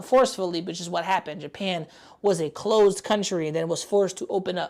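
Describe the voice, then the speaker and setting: With a New York accent, a woman talks at a fairly quick pace with ordinary pitch variation. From New York City, the Bronx. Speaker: gaming and pop culture streamer. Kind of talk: live stream reaction commentary.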